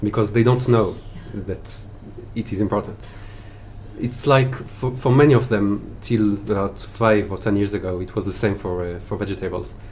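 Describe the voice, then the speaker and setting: A man with an Israeli accent, fairly low in pitch, with fairly even intonation at a moderate pace. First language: Hebrew. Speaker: spice merchant, former chef. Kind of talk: interview chat.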